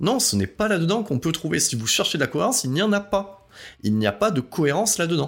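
The recording of this man is very clean, its background silent. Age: 40s. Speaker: podcast host. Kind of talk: solo monologue podcast. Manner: halting.

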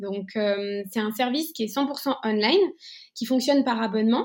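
In a very clean recording with a silent background, a woman speaks at a moderate pace with ordinary pitch variation. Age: 30s. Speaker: entrepreneur, co-founder of a clothing rental company. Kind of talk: interview.

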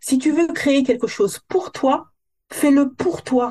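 Lively intonation from a woman with a high pitch, at a fairly slow pace. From metropolitan France, Guadeloupean family. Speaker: hair coach. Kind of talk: casual interview.

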